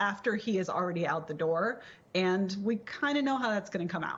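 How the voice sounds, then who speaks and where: Here a woman speaks at medium pitch with ordinary pitch variation, in an unremarkable speaking voice. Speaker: political commentator, guest on TV show. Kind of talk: TV panel discussion answer.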